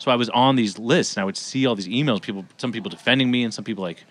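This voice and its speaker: Speaking very fast, a man holds a medium pitch with ordinary variation. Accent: American. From US West Coast, Los Angeles. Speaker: comedian. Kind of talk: casual chat.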